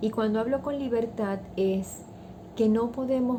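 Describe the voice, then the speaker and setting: Soft-spoken delivery at a fairly slow pace, with ordinary pitch variation. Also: woman. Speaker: values teacher. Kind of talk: talk on values.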